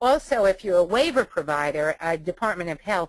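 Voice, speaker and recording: With an American accent and a fairly low pitch, a woman talks in a dry, close sound with no echo over a quiet background. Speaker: webinar presenter, trainer. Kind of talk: webinar training presentation. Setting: webinar. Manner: frequent fillers (um, uh).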